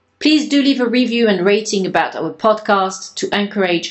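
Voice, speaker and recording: This woman has an unremarkable speaking voice, talking at a moderate pace with lively intonation. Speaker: podcast host. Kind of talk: interview conversation.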